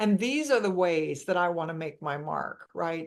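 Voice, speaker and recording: This is an ordinary speaking voice. A woman speaks at medium pitch. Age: 60s. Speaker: financial planner. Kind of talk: panel discussion.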